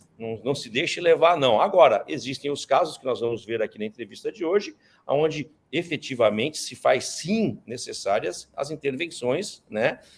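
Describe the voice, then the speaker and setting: An ordinary speaking voice from a man, moderate in pace, pitched fairly high, with lively intonation. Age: 60s. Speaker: interview host. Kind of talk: interview. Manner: casual.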